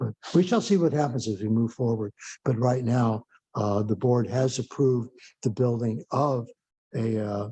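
Dry, close sound with no echo on a man's somewhat breathy voice, dark and mellow in tone, with ordinary pitch variation. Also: medium pitch for a man, moderate pace. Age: 70s. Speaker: committee chair. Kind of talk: public meeting. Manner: halting, many fillers.

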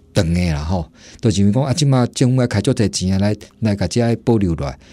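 Over a silent background on a very clean recording, a man talks at a fairly quick pace in a dark, mellow tone with very wide pitch swings. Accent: Taiwanese. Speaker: historic building restorer. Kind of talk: radio interview. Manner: halting, many fillers.

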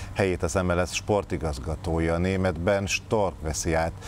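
Amid light background noise, a man speaks at a moderate pace with a very deep, low pitch in a dry sound with no echo. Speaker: TV morning show host. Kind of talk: studio interview discussion. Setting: studio. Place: studio.

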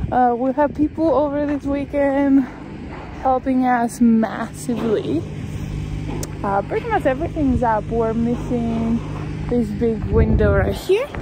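Long, frequent pauses over loud background noise, in a dry sound with no echo. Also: woman. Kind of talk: casual vlog chat. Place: open country. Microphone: phone near.

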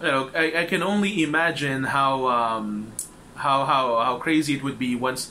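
A man at a fairly slow pace against light background noise. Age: 30s. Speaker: support group facilitator. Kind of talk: informal talk to a support group. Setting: group meeting with audience. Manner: hesitant, many fillers. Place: home room. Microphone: webcam.

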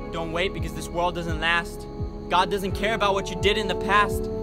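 Loud music plays in the background while a man talks at a fairly quick pace. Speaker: spoken word performer. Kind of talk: spoken word poetry. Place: forest. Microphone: phone near.

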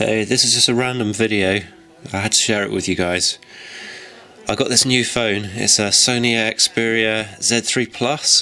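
Noticeable background noise sits behind a man speaking at medium pitch. His pace is fairly slow and his intonation fairly even. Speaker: amateur video creator. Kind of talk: casual video narration. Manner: casual, rambling.

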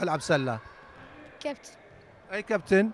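A man speaks high with lively intonation, the sound dry with no echo and light background noise behind him. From Kuwait. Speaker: sports TV host and basketball commentator; sports TV host, basketball commentator. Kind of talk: live commentary. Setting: sports hall. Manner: fast. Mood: friendly, encouraging. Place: hall. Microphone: handheld.

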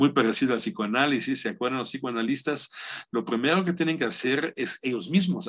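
A man speaks at a fairly quick pace with very wide pitch swings, his voice at a medium pitch against a quiet background. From Germany. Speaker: philosopher; lecturer. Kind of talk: lecture. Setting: video call. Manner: halting. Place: home room. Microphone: webcam.

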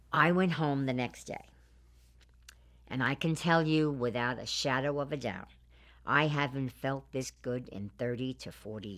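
A woman's very deep, low voice at a fairly slow pace, with ordinary pitch variation, long, frequent pauses and a quiet background. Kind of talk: interview answer. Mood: calm, earnest storytelling. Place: studio. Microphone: lapel.

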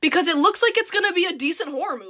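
Against a quiet background, a woman speaks in a raised, projected voice at a very fast pace with lively intonation. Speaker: content creator. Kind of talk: casual vlog chat. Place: home room. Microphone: phone near.

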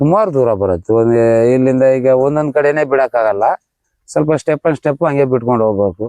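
A man speaks at a medium pitch with ordinary pitch variation and very even loudness, his tone dark and mellow, the sound dry and close with no echo. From Bhadravati, Shivamogga district, Karnataka. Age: 40s. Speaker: river fisherman. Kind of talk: interview.

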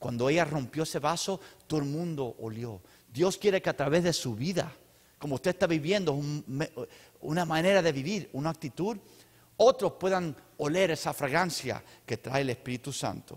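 Against a quiet background, a man speaks at a moderate pace with lively intonation and long, frequent pauses. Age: 50s. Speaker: pastor; preacher. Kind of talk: sermon; church announcements. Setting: church. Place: church. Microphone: handheld.

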